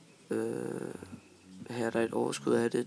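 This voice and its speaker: A man talks over noticeable background noise. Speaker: hobbyist vlogger. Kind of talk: show-and-tell video. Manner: monotone; hesitant, many fillers.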